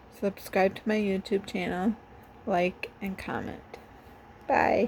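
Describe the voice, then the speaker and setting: Her intonation is monotone and flat. This woman's voice has a medium pitch. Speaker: vlogger. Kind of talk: personal vlog monologue. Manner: halting, many fillers.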